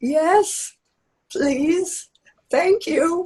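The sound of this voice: An extremely high, squeaky, put-on character voice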